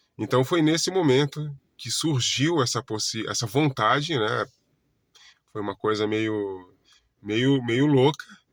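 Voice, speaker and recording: In a very clean recording with a silent background, a man at medium pitch speaks at a very slow pace with long, frequent pauses and ordinary pitch variation. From Brazil, Florianópolis, Santa Catarina. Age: 40s. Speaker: holistic therapist. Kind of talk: casual self-introduction monologue. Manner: halting, many self-corrections and fillers.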